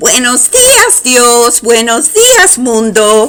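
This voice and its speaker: A woman puts on a character voice pitched high. She speaks at a very slow pace. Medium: read story. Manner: soft, simple, devout.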